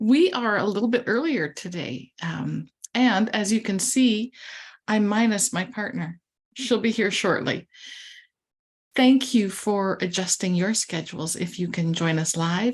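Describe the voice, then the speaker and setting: Soft-spoken and somewhat breathy, a woman at medium pitch talks at a fairly slow pace with lively intonation against a quiet background. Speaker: livestream co-host and author. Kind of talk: casual livestream chat and tutorial. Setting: video livestream.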